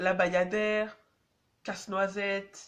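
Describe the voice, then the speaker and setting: This woman speaks at a very slow pace. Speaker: dance vlogger. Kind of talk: casual vlog advice. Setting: on public transport, in a tunnel. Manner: casual, hesitant with many fillers.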